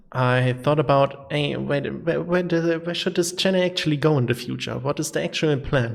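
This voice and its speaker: With a German accent, a man talks at a fairly high pitch. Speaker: gaming YouTuber. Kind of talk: casual channel update monologue. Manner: halting, many fillers.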